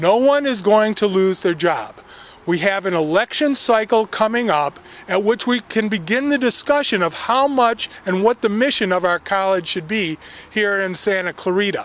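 A man talks at a moderate pace. His pitch is high, with ordinary variation. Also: dry sound with no echo. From US West Coast, California. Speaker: local political campaigner. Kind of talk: political speech to camera. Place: garden. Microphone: handheld.

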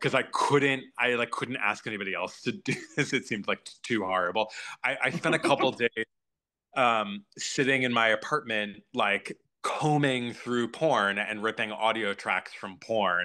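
In a quiet background, a man with a bright, sharp tone speaks at a moderate pace with ordinary pitch variation. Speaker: guest. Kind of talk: interview answer. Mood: amused, candid, laughing. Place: home room. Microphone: video call.

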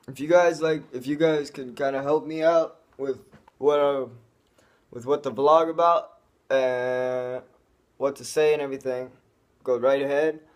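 A man speaks at a moderate pace with fairly even intonation, leaving long, frequent pauses. The background is quiet. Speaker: vlogger. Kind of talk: casual vlog chat. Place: home room. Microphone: phone near.

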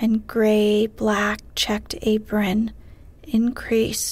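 What we hear is an unforced reading voice.

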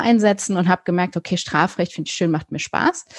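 A woman with a fairly low pitch talks at a very fast pace with ordinary pitch variation. The sound is dry and close with no echo, over a quiet background. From Germany, raised bilingual with English. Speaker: criminal defence lawyer. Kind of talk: interview. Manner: casual, many fillers.

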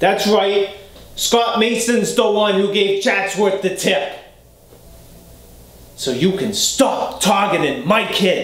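With a Boston accent, a man talks at a very slow pace in a high voice, with audible room echo. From Boston area, USA. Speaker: character actor. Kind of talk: acting scene, self-tape. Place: home room.

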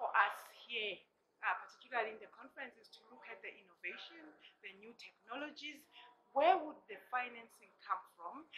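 A woman speaks with a high pitch and lively intonation. Light background noise is present. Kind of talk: interview answer. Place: hall.

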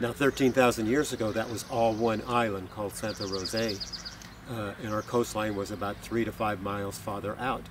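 A man with an American accent talks in a flat monotone at a fairly low pitch, the sound dry with no echo and noticeable background noise behind him. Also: moderate pace. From Southern California. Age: old. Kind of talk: educational talk. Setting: outdoors. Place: open country.

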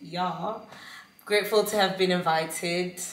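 With audible room echo, a woman speaks at a moderate pace in a fairly low pitch and a monotone, flat intonation. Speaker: vlogger. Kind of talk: casual vlog monologue. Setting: at home on couch. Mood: grateful, warm. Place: kitchen. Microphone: phone near.

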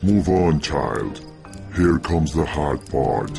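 A man performs a put-on character voice at a very slow pace. Music plays clearly in the background. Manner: menacing.

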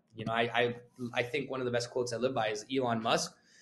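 This man, with an unremarkable speaking voice and a Canadian accent, talks at a fairly quick pace and a medium pitch. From Canada. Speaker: real estate agent; guest. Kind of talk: casual interview. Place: office. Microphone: video call.

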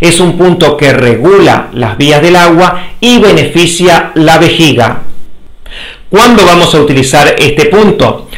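A man speaking at a fairly slow pace with ordinary pitch variation. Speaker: health educator. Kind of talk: lecture.

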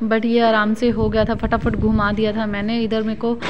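A woman's flat, monotone delivery at a moderate pace, with light background noise. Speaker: home vlogger. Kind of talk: casual vlog chat. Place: kitchen.

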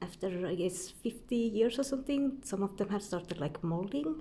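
A woman talks at a moderate pace, somewhat breathy. Her tone is dark and mellow. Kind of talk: casual vlog chat. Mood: relaxed, fond. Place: home room. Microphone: phone near.

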